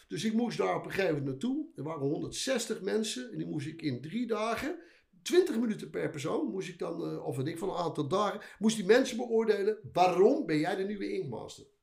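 In a room with audible echo, a man talks fairly quickly with hardly any pauses, his high pitch swinging very widely. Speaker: veteran tattoo artist. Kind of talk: casual chat.

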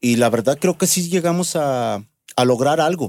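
This is a man with a central Mexican accent. His pitch variation is ordinary. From Mexico, Aguascalientes. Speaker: bass player. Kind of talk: casual chat.

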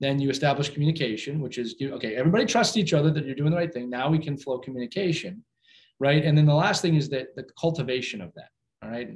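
Somewhat breathy and very fast, a man with an American accent speaks at a fairly high pitch with lively intonation. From US Northeast (Philadelphia). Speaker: hockey coach and inspirational speaker. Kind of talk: interview.

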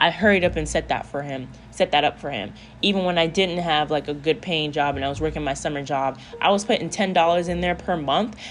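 This woman's voice sits very deep and low, with vocal fry throughout. She talks at a fairly quick pace with ordinary pitch variation. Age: 20s. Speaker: podcast host, single mom. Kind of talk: casual solo monologue. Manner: conversational, relaxed.

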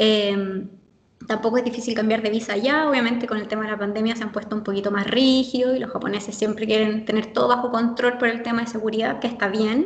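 Over noticeable background noise, a woman with a fairly high pitch talks at a very fast pace with fairly even intonation. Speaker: language teacher who lived in Japan. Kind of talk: interview.

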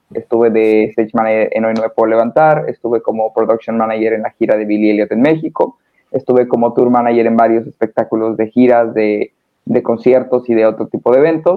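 Speaking fairly quickly in an ordinary speaking voice, a man keeps a medium pitch and fairly even intonation. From northern Mexico, Hermosillo, Sonora. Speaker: stage manager. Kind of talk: casual interview.

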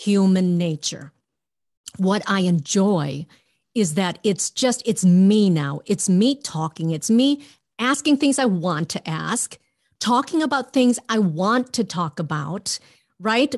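At a very slow pace and a medium pitch, a woman with an American accent makes very wide pitch swings, and the sound is dry and close with no echo against a quiet background. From Minnesota, US Midwest. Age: 50s. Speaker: former TV journalist. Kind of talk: casual chat.

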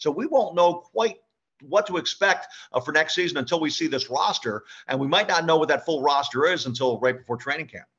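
A man with an American accent, fairly high in pitch, talking at a very fast pace. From US Northeast (Philadelphia). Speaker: sports radio play-by-play announcer. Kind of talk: casual interview.

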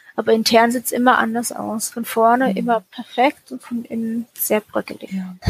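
An unremarkable speaking voice from a woman, fairly high in pitch, at a moderate pace with fairly even intonation and big swings in loudness. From Germany. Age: 30s. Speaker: former Jehovah's Witness. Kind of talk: personal testimony interview. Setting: remote call.

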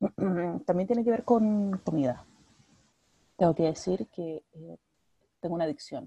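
With a dark, mellow tone and a somewhat breathy edge, a woman speaks at a medium pitch with lively intonation, big swings in loudness and long, frequent pauses, in a dry, close sound with no echo. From Chile, Valparaíso region (Villa Alemana). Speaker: podcast co-host. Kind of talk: casual chat. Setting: video call.

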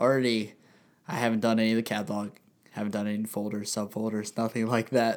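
A man speaks at a medium pitch and a very fast pace, in monotone, flat intonation. The recording is very clean with a silent background. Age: 20s. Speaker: podcast co-host and photographer. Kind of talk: casual chat. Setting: studio. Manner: talkative.

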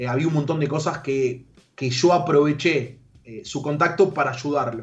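This man speaks at a fairly slow pace with a fairly high pitch. His pitch varies an ordinary amount, and audible room echo surrounds his voice. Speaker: youtuber and esports manager. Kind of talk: radio interview.

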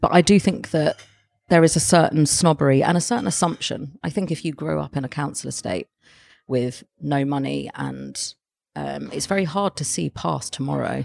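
A woman with a London accent at a moderate pace, in a dry, close sound with no echo. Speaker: arts journalist and editor. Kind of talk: casual interview. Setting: gallery cafe.

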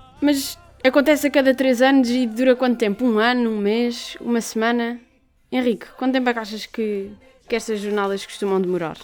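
This woman has a plain, everyday voice with a fairly high pitch. She talks at a fairly quick pace with fairly even intonation. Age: 18. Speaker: student radio co-host. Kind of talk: radio show chat, partly scripted.

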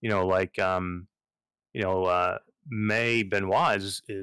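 Very deep, low male speech, captured in a very clean recording against a silent background. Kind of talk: casual chat.

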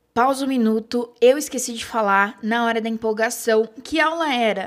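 A woman's fairly high voice with a strong interior São Paulo accent, ordinary pitch variation and a moderate pace, on a very clean recording with a silent background. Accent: strong retroflex R of interior São Paulo. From Bauru, interior of São Paulo, Brazil. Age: 20s. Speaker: podcast host, advertising student. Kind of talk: casual chat.

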